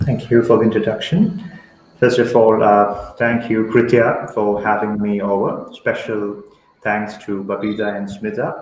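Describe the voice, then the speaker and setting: A man's fairly low, monotone, flat voice with a Keralan accent at a fairly slow pace, with audible room echo and light background noise. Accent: Indian English (Malayali). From Kerala, India. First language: Malayalam. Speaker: poet. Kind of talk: poetry reading. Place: home room. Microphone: webcam.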